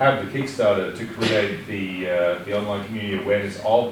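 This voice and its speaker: A man at a fairly quick pace with fairly even intonation, amid audible room echo and noticeable background noise. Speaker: audience member. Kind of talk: audience question at panel. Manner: loud.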